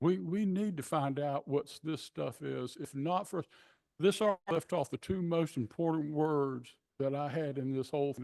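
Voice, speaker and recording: With a coastal Georgia accent, a man talks in a fairly high pitch with ordinary pitch variation. The sound is dry and close with no echo, and the background is quiet. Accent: Southern US (coastal Georgia). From US South. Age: 70s. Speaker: public commenter. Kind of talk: public comment at meeting. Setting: city commission meeting room.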